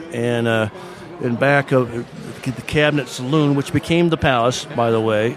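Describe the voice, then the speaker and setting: A man with an American accent at a moderate pace, medium pitch and fairly even intonation, over noticeable background noise. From Michigan. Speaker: local historian and author. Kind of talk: casual interview. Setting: restaurant saloon.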